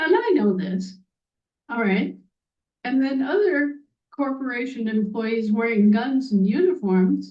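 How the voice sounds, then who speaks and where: A woman with an American accent speaks at a fairly high pitch with lively intonation. Her delivery has long, frequent pauses. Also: fairly slow pace. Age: 60s. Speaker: activist speaker. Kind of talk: monologue. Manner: animated.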